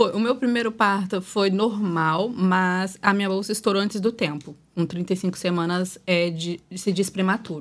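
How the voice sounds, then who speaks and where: In a very clean recording with a silent background, a woman has an ordinary speaking voice at a medium pitch. She goes at a fairly slow pace with hardly any pauses and fairly even intonation. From Espírito Santo, Brazil. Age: 20s. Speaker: social media influencer and mother of four. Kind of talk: casual podcast chat.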